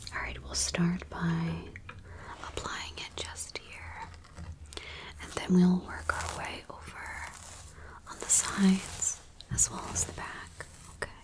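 Woman whispering at a very slow pace, with long, frequent pauses and big swings in loudness. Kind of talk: soft-spoken role-play. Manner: soft, hushed ASMR voice. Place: home room.

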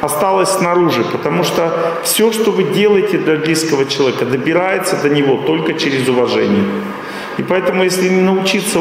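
Talking at a fairly quick pace, a man with a high voice and ordinary pitch variation is heard over light background noise in a room with strong echo. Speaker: lecturer. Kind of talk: lecture. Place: hall. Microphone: podium.

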